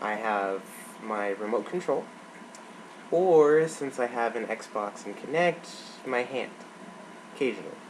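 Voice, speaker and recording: Noticeable background noise accompanies a man speaking at a fairly slow pace, with lively intonation and a medium pitch. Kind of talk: casual talk to camera. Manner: hesitant, casual.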